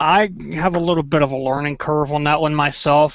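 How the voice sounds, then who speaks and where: Speaking in an American accent, the man uses a fairly high pitch. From Maryland.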